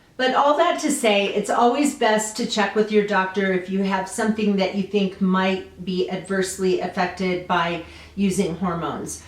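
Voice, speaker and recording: Amid noticeable background noise and audible room echo, a woman of medium pitch speaks at a moderate pace with ordinary pitch variation and hardly any pauses. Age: 60s. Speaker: lifestyle vlogger. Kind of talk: personal testimony vlog. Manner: casual with frequent fillers.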